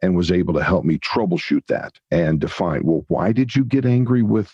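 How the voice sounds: Low-pitched with a slightly husky edge and a slightly mellow tone, a man speaks at a moderate pace with ordinary pitch variation.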